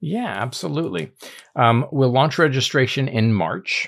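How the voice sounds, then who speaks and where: A normal speaking voice with lively intonation moves at a moderate pace. The recording is very clean, with a silent background. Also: man. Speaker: podcast host. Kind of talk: casual podcast discussion.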